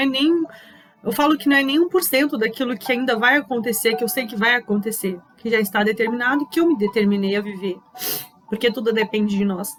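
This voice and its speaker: A woman with a high pitch talks fairly quickly, her pitch varying in an ordinary way. Background noise is noticeable. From southern Brazil, Pelotas, Rio Grande do Sul. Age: 30s. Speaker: leadership speaker. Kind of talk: personal testimony talk.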